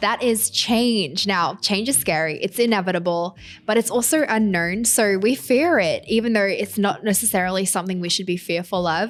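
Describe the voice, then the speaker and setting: A woman with an Australian accent at a medium pitch and moderate pace, with ordinary pitch variation and hardly any pauses, over music in the background. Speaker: podcast host and influencer. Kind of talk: solo podcast monologue. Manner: casual, conversational.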